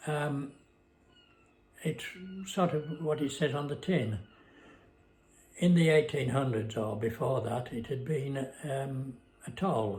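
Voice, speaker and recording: A man speaks at a very slow pace in a somewhat breathy, fairly high voice with ordinary pitch variation and long, frequent pauses. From northern England, Westmorland (Cumbria). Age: 90s. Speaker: retired man recounting memories. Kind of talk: casual reminiscing monologue. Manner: halting, many fillers.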